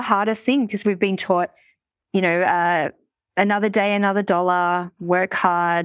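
A woman with an Australian accent speaks at medium pitch. Her pace is moderate and the background is quiet. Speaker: money mindset coach and author. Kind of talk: casual interview chat.

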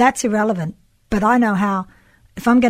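A woman's somewhat breathy, medium-pitched voice with fairly even intonation, on a very clean recording with a silent background. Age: 50s. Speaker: sculptor. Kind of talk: casual chat.

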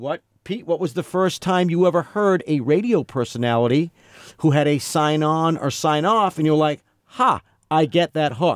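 At a moderate pace and with ordinary pitch variation, the speech comes through a very clean recording with a silent background and a dry, close sound with no echo. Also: man, fairly high pitch for a man. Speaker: radio veteran and impressionist. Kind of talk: casual chat. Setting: studio. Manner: animated.

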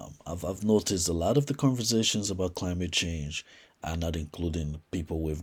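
On a very clean recording with a silent background, a man with a very deep, low, somewhat breathy voice talks at a fairly quick pace with ordinary pitch variation. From Liberia. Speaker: podcast host and entrepreneur. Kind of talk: solo podcast monologue. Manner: halting, many fillers.

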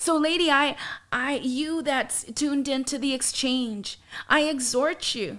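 A woman's high-pitched voice with a warm tone at a fairly slow pace. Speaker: podcast host. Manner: earnest, warm, encouraging.

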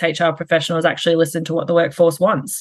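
Speaking with an Australian accent, a woman uses a fairly low pitch. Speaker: HR and operations executive. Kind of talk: interview. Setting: call.

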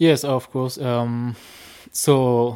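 A man speaks with a French accent at a medium pitch. His tone is dark and mellow, with monotone, flat intonation. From France. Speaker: dog sled musher. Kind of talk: interview. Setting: on location at a kennel.

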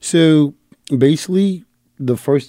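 Speaking at a fairly slow pace, a man uses a dark, mellow tone with ordinary pitch variation. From New York, the Bronx. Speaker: sports fan club founder. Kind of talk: casual chat. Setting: studio.

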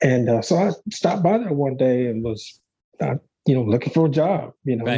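With a Texan accent, a man at medium pitch speaks very fast in a somewhat breathy voice with a dark, mellow tone. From South Texas. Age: 50s. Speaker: bucking bull breeder. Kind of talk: casual interview. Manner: halting, many fillers.

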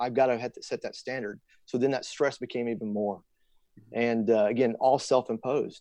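Medium in pitch with a dark, mellow tone, a man speaks at a fairly quick pace in a monotone, flat intonation while his loudness swings widely. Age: 40s. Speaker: military fighter pilot. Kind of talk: casual chat. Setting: call.

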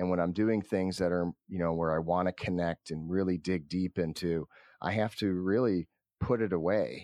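A man with a very deep, low voice and a Midwestern US accent, dark and mellow in tone, at a moderate pace with fairly even intonation, in a dry, close recording with no echo and a quiet background. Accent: US Midwest. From Cleveland, Ohio. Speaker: company founder. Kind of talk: interview. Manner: halting.

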